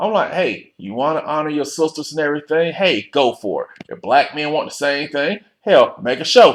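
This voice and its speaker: A man talks at a moderate pace. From US South, Alabama (Montgomery). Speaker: vlogger, military member. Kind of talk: casual vlog rant. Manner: animated.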